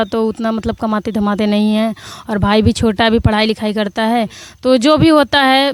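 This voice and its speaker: Her pitch is fairly high, and her intonation stays fairly even. This woman keeps a moderate pace. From Prayagraj, Uttar Pradesh. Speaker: comedy video actress. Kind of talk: interview. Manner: loud, sharp-toned.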